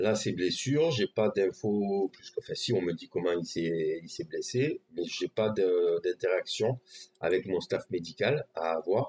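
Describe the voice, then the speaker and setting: Very slow pace over light background noise. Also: man. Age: 40s. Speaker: gaming streamer. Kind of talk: tutorial. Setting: live stream. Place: home room.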